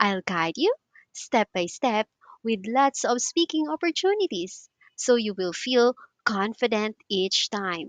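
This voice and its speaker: Very slow, wide-swinging speech from a woman with a fairly high pitch, dry and close with no echo against a quiet background. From Philippines. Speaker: English teacher. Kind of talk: tutor self-introduction to camera. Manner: warm, friendly.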